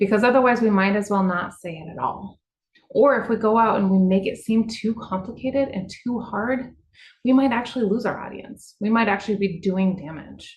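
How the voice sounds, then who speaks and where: The voice is somewhat breathy with ordinary pitch variation. Its loudness swings widely. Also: woman, fairly high pitch for a woman. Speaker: water utility communicator. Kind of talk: webinar presentation. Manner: fast; casual, conversational.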